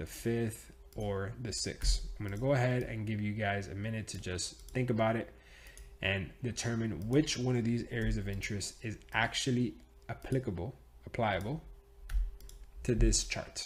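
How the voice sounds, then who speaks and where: Animated and somewhat breathy, a man speaks at a moderate pace. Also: fairly low pitch for a man, ordinary pitch variation. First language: Spanish. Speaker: trading teacher. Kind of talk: tutorial. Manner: casual, animated.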